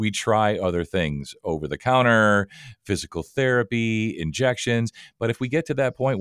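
A man with a plain, everyday voice at medium pitch speaks at a moderate pace with lively intonation, in a dry, close sound with no echo and a very clean recording over a silent background. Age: 50s. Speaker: podcast host. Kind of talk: interview.

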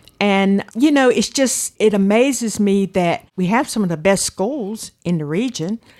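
A woman speaks in a coastal North Carolina accent at a medium pitch. Her pace is fairly slow and her intonation lively. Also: hardly any pauses. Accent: coastal North Carolina Southern. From Outer Banks, North Carolina (Manteo, Roanoke Island). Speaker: retired water department supervisor, community member. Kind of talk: interview, personal memories.

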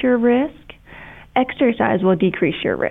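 Warm, passionate tone from a woman with an American accent and ordinary pitch variation. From Kentucky, US. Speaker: breast surgeon. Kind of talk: casual interview chat, explanatory.

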